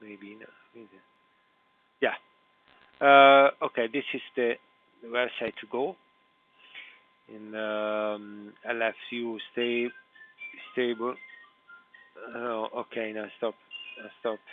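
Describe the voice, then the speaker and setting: In an Italian accent, the speaker talks very slowly with monotone, flat intonation and long, frequent pauses while music plays in the background. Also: man, medium pitch for a man. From Italy. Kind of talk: live screen-recorded computer walkthrough. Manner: hesitant, halting, many filler sounds.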